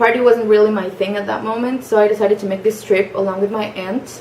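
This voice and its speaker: Speaking at a fairly quick pace with a Spanish accent, a woman keeps a medium pitch and fairly even intonation over noticeable background noise. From Mexico (Mexico City, Cancun). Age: 20s. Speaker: young job applicant introducing herself. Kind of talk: personal introduction video. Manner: casual with frequent fillers and hesitations.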